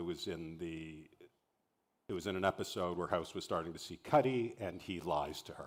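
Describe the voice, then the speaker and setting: A man's very deep, low voice with a Canadian accent. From Canada. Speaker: TV showrunner and writer. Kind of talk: masterclass talk. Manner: halting.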